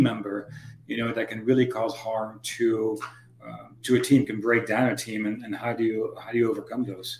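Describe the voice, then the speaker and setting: A man speaks at a moderate pace with a medium pitch. Noticeable background noise runs underneath. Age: 50s. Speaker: podcast host. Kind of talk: interview.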